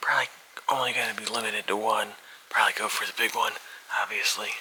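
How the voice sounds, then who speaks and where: A man whispers at a fairly quick pace. Background noise is noticeable. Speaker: hunting video host. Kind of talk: in-field commentary. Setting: outdoors.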